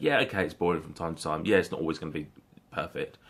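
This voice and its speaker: A man with a British accent speaks at a very fast pace. His pitch is very deep and low. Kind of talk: casual talk to camera.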